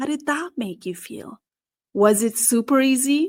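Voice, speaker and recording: Speaking at a fairly slow pace, a woman with a South Asian accent sounds animated, her intonation lively, on a very clean recording with a silent background. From Nepal. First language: Nepali. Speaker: career strategist and podcast host. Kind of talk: podcast monologue.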